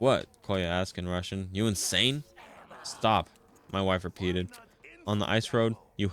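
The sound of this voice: Intonation stays fairly even. The delivery is an unforced reading voice.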